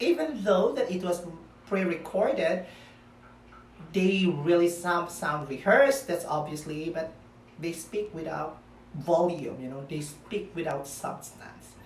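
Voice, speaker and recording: A woman's fairly slow, fairly low-pitched speech in a Filipino accent, with ordinary pitch variation and audible room echo. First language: Filipino language. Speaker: pageant commentary vlogger. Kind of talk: opinion vlog. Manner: halting.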